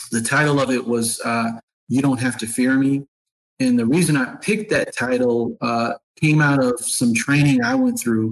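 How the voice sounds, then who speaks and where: A man with an American accent talks in a normal speaking voice at medium pitch and a moderate pace. His intonation is fairly even, and the sound is dry and close with no echo. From upstate New York, Syracuse. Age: 30s. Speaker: nonprofit executive. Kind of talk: interview conversation.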